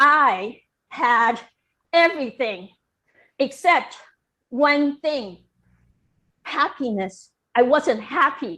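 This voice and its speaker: Raised and projected, a bright, sharp voice moves very slowly with long, frequent pauses and lively intonation on a very clean recording with a silent background. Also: woman, high pitch for a woman. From Taiwan. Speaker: storyteller and former professor. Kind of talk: storytelling performance.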